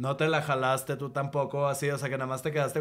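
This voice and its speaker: A man speaks in a fairly high pitch. His intonation is flat and monotone. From Monterrey, Mexico. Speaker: graphic designer and comedian. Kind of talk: casual chat.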